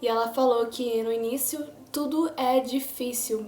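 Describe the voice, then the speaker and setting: Music plays behind a woman with a high-pitched voice. Her intonation stays fairly even. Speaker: podcast host. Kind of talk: casual monologue. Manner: halting.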